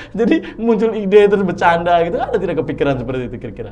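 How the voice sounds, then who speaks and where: Very fast speech with ordinary pitch variation, audible room echo and noticeable background noise. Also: man. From Flores, eastern Indonesia (Ende). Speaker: podcast host. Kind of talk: casual interview chat. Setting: studio. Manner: halting, many fillers.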